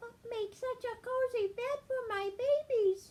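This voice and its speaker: A squeaky, female-sounding put-on character voice speaks at a fairly slow pace with an extremely high pitch. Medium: read story.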